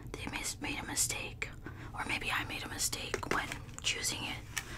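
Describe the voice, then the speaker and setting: Whispering and soft-spoken, a woman talks at a moderate pace over noticeable background noise. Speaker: mukbang creator. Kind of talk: casual vlog chat. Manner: soft ASMR whisper close to mic. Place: home room. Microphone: studio mic.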